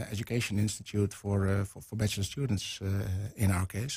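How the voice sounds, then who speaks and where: A man speaks with fairly even intonation. Music plays behind him. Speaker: guest. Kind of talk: interview answer. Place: studio. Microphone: studio mic.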